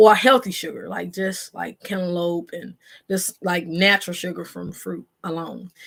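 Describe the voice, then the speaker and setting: A woman speaks in a normal speaking voice at a medium pitch. Her intonation is fairly even and her pace moderate. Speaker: vlogger, single mom. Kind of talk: casual vlog chat to camera. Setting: bedroom at home, live video.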